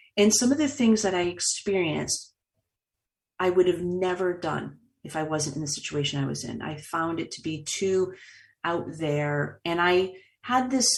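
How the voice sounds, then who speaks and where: With an American accent, a woman speaks in a normal speaking voice at a fairly low pitch, using lively intonation at a moderate pace. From Boston, US Northeast. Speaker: author and speaker, trauma survivor. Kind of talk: interview testimony.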